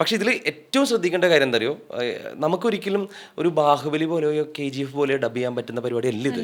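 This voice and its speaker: There is noticeable background noise in the clip. A man speaks at a fairly high pitch with lively intonation. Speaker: radio jockey and dubbing artist. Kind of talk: podcast interview answer, conversational.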